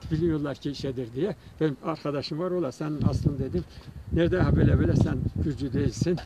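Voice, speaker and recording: A man with ordinary pitch variation, dry sound with no echo, and loud background noise. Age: old. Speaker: folk minstrel; local poet, storyteller. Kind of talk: casual chat. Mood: calm, thoughtful. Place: open country. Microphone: phone near.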